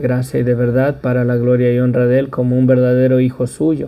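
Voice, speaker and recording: A man's dark, mellow voice in a monotone, flat intonation. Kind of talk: sermon.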